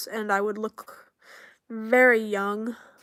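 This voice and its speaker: A woman's nasal, put-on character voice, fairly high in pitch, with monotone, flat intonation. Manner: demonstrating muffled voice.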